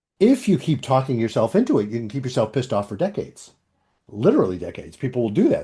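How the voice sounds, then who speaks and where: A man with a dark, mellow tone and somewhat breathy delivery speaks at medium pitch with lively intonation. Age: 70s. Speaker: couples psychologist. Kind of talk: interview conversation.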